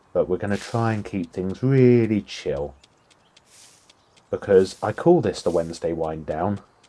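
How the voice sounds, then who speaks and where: Soft-spoken, with a British accent. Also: man. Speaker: gaming YouTuber. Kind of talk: let's play commentary. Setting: home recording. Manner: soft-spoken, talking quietly; relaxed, chill.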